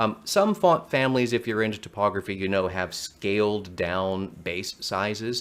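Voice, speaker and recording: A man with an unremarkable speaking voice talks at a moderate pace, pitched fairly low with ordinary pitch variation. He uses hardly any pauses. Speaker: marketing strategist. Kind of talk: online workshop presentation.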